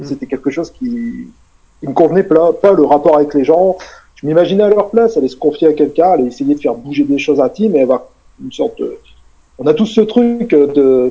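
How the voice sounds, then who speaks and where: Lively intonation marks a man talking at a fairly quick pace. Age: 40s. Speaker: hypnotherapist and author. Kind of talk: casual interview. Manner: hesitant, many fillers and repetitions.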